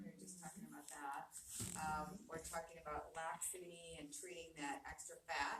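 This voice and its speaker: Noticeable background noise sits behind a soft-spoken woman. She talks at a moderate pace. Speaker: aesthetic doctor. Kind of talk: live webinar presentation. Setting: video call. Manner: casual.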